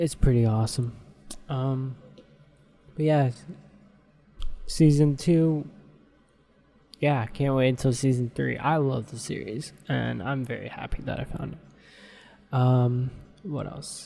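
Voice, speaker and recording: A man speaks quietly at a medium pitch and a very slow pace. He leaves long, frequent pauses, and his intonation stays fairly even. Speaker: podcast host. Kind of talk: casual solo podcast monologue. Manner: quiet, keeping voice down for sleeping baby.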